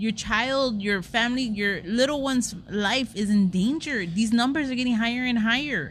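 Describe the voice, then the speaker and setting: Using an unremarkable speaking voice, a woman with fairly high pitch talks at a moderate pace with hardly any pauses, very even loudness, and ordinary pitch variation. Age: 20s. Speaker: podcast co-host. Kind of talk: casual chat.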